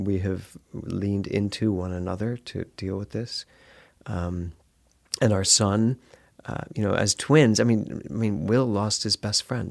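A man with an American accent, a normal speaking voice, fairly low pitch, ordinary pitch variation and a fairly slow pace, on a very clean recording with a silent background. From US Northeast, Philadelphia. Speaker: minister and former stage actor. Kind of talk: interview.

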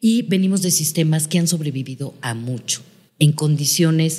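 Speaking at a fairly slow pace, a woman has a very deep, low pitch, a dark, mellow tone, a somewhat breathy quality and ordinary pitch variation. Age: 50s. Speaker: psychotherapist and family constellation facilitator. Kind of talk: interview.

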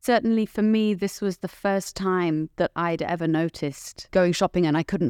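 On a very clean recording with a silent background, a woman with a British accent speaks at a fairly low pitch with a dry, close sound and no echo. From Britain. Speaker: podcast host. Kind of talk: scripted introduction; interview. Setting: studio.

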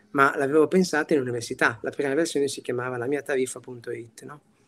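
Very fast delivery from a man with a fairly high pitch. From Italy, Piacenza. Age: 30s. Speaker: tech executive. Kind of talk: interview. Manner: animated.

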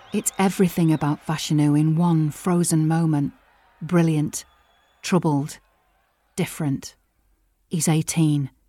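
A woman's very deep, low voice with a dark, mellow tone, fairly slow pace, fairly even intonation, long and frequent pauses, very even loudness, and a very clean recording with a silent background. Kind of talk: dramatic narration. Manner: vivid, suspenseful storytelling with clipped, punchy sentences and pauses.

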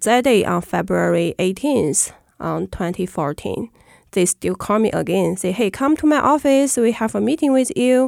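In a Chinese accent, a woman speaks at a fairly slow pace with a fairly high pitch and lively intonation. The recording is very clean with a silent background and a dry, close sound with no echo. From China. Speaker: former prisoner for faith. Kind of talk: interview. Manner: halting.

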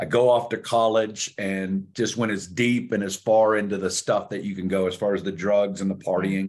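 Against a quiet background, a man with a Southern accent speaks at a moderate pace in a fairly low pitch with monotone, flat intonation. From US South, Northwest Arkansas. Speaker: preacher. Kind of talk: testimony.

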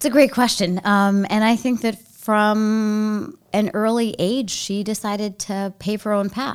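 A woman with an American accent speaks in a normal speaking voice at a fairly high pitch and a fairly slow pace, with fairly even intonation and hardly any pauses, on a very clean recording with a silent background. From Baltimore, US. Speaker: nonprofit CEO, lawyer. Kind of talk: interview, casual chat. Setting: studio. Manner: thoughtful, with fillers.

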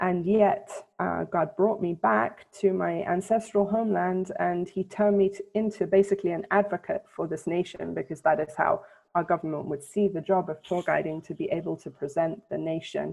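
At a moderate pace, a woman with a British accent talks at a medium pitch with ordinary pitch variation. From England. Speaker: Bible scholar and tour guide. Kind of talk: interview. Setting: remote call from Jerusalem.

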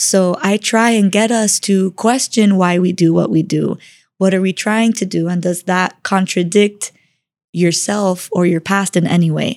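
In a normal speaking voice, a woman talks fairly slowly at medium pitch, her intonation fairly even. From Miami, Florida (Cuban-American family). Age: 20s. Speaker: life coach. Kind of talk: interview.

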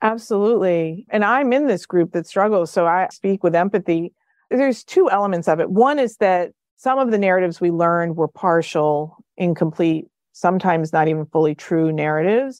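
Fairly quick, lively speech with a New Jersey accent, very even loudness, a dry, close sound with no echo, and a quiet background. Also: woman, medium pitch for a woman. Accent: American, New Jersey. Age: 50s. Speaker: professor and social psychologist. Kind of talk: interview conversation.

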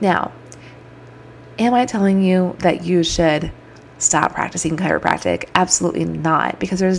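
Against noticeable background noise, a woman speaks at a moderate pace in an animated tone. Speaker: podcast host and chiropractor. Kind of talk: solo podcast monologue.

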